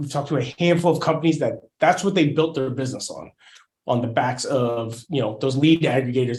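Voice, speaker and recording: This man's voice sits at a fairly high pitch, somewhat breathy, with fairly even intonation. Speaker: marketing agency owner giving a webinar. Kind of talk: webinar presentation. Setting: online webinar.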